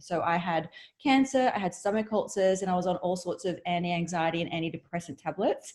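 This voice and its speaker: In an Australian accent, a woman speaks somewhat breathily at a medium pitch and a fairly quick pace, on a very clean recording with a silent background. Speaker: entrepreneur and reality TV star. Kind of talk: interview.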